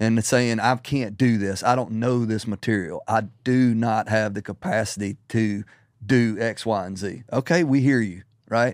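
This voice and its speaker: A man with a Southern US accent speaks at a medium pitch. The recording is very clean, with a silent background. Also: ordinary pitch variation, moderate pace. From Middle Tennessee. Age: 40s. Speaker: ministry founder. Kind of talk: casual interview. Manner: halting.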